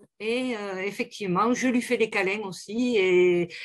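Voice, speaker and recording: A woman's fairly high voice shows ordinary pitch variation as she talks at a very slow pace. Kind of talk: casual chat. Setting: video call.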